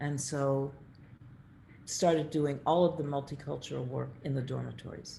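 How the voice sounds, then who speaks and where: A woman's very deep, low voice with a dark, mellow tone and vocal fry, at a moderate pace with monotone, flat intonation, long, frequent pauses, and audible room echo. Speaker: architect and professor. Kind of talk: lecture Q&A.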